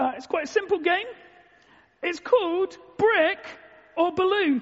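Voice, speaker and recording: A woman's voice with ordinary pitch variation. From London, England. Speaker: Bible teacher and preacher. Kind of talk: sermon. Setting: stage with audience at a conference.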